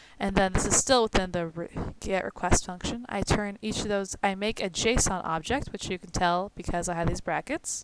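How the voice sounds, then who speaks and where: A woman speaks with ordinary pitch variation and a moderate pace while noticeable background noise carries on. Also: medium pitch for a woman. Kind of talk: screen-recorded coding tutorial. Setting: home, recording at night.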